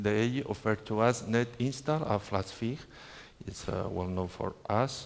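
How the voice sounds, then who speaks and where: With a Spanish accent, a man talks at a fairly slow pace in a medium pitch, with ordinary pitch variation. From Spain. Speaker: network trainer. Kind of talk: conference talk. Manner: halting, with filler sounds.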